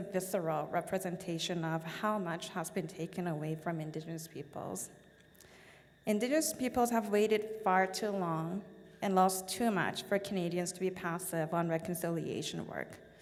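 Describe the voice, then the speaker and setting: Audible room echo is heard as a woman speaks with a Korean accent. Her pitch is medium with ordinary variation, and her pace is moderate. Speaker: business association board chair. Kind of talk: formal speech. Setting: stage at event with audience.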